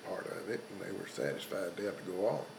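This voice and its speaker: A man with a Texan accent speaks over noticeable background noise. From South Texas. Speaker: World War II veteran and rancher. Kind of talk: interview answer.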